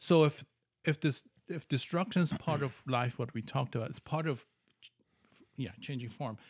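A somewhat breathy man with a fairly high pitch and ordinary pitch variation, moderately paced with long, frequent pauses. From Iran. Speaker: biologist with PhD. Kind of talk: casual chat.

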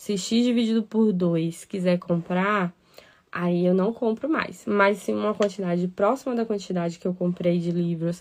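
A woman at a medium pitch, with ordinary pitch variation, talks at a fairly slow pace. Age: 30s. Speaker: podcast host and breastfeeding advocate. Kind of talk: live stream monologue. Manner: animated.

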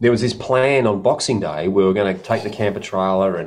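Here is a man with an Australian accent and a fairly low pitch. He talks at a fairly quick pace. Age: 50s. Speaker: podcast co-host. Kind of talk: casual chat.

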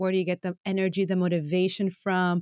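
Talking very fast in an animated, enthusiastic tone, the speaker sounds dry and close with no echo on a very clean recording against a silent background. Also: woman. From Latin America (Venezuela, Bolivia). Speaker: podcast host. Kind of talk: casual interview chat.

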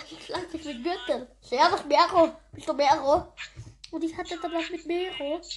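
A woman talks at a fairly slow pace with an extremely high pitch and ordinary pitch variation. Her loudness swings a lot, and there is noticeable background noise. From Austria. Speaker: podcast host. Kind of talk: casual chat.

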